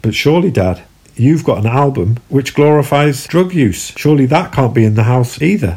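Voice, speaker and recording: A man speaks at a very even loudness with a fairly high pitch. His tone is dark and mellow, and somewhat breathy. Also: lively intonation, moderate pace. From southeast London. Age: 40s. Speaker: podcaster, former Jehovah's Witness. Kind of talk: personal storytelling monologue.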